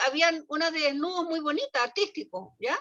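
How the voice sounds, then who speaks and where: A woman with a Chilean accent speaks in an extremely high pitch, her voice raised and projected with a bright, sharp tone. Her pace is fairly quick and her pitch varies in an ordinary way. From Chile, small town. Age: 70s. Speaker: early childhood education professional. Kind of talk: casual discussion in online talk.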